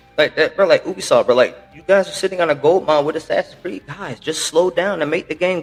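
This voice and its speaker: Over music in the background, the voice moves at a fairly quick pace with ordinary pitch variation. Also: man. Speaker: gaming podcast host. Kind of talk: casual chat. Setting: at home. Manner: fast; halting.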